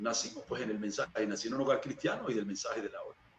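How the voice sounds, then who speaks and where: Noticeable background noise runs through the recording. Over it, a man talks. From Venezuela, Barcelona (Anzoátegui). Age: 40s. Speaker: church minister. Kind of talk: interview testimony.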